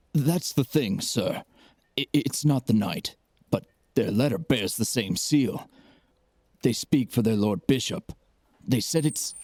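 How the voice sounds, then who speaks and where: Using a put-on character voice, a man talks fairly slowly at a medium pitch, leaving long, frequent pauses. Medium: audio drama. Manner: hesitant, deferential.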